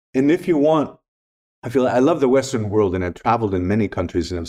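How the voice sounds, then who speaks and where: A man speaks at a very fast pace. His tone is dark and mellow, and his intonation is lively. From Greece. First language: Greek. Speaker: spiritual teacher and former photographer. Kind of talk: casual interview chat.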